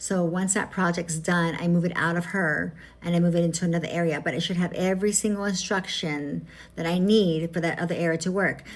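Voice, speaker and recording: At a fairly quick pace, a woman speaks in a monotone, flat intonation with fairly low pitch and very even loudness. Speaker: AI tutorial creator. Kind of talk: casual vlog. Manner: fast.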